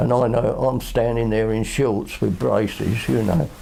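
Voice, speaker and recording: The man's moderate-paced talk is accompanied by noticeable background noise. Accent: Southern English. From Kenley area, England. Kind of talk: oral history interview answer.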